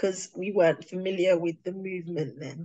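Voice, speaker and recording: This is a woman with a British accent. Her pitch is medium. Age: 30s. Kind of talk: testimony.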